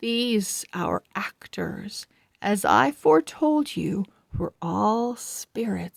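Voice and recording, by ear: In a quiet setting, the speaker reads aloud in a natural voice.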